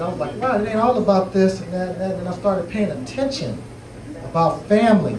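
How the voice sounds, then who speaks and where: Noticeable background noise and audible room echo fill the recording. A high-pitched man talks at a fairly quick pace with lively intonation. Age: 40s. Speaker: author on relationship panel. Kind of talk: panel discussion. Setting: bookstore event with audience.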